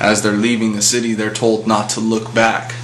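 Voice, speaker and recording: Over noticeable background noise, a man with a medium pitch talks at a moderate pace in a monotone, flat intonation. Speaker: atheist commentator. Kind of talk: casual talk to camera, opinion commentary.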